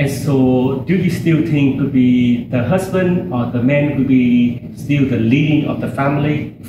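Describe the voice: A man speaks at a fairly slow pace, his pitch medium with ordinary variation. Audible room echo surrounds his voice.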